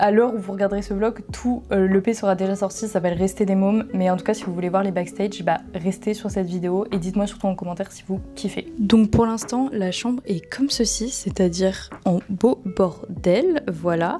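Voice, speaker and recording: Over noticeable background noise, a woman talks at a moderate pace with ordinary pitch variation and hardly any pauses. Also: medium pitch for a woman. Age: 20s. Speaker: content creator and artist manager. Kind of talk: vlog. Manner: casual, hesitant with fillers.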